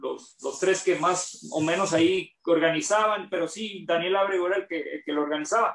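This man's speech has ordinary pitch variation and a moderate pace. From Mexico, Tijuana (Baja California). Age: 40s. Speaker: former professional basketball player. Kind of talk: interview.

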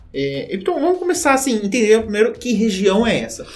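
Against noticeable background noise, a man talks fairly quickly with very wide swings in pitch. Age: 20s. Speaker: teacher. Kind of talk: educational podcast chat.

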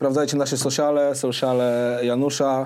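A dark, mellow tone colors this man's medium-pitched voice. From Warsaw, Poland. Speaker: podcast host and rapper. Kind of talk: casual interview chat; podcast outro.

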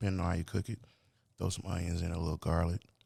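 In a put-on character voice, a man talks fairly quickly with a raspy, very deep, low pitch and flat, monotone intonation. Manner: special cooking voice.

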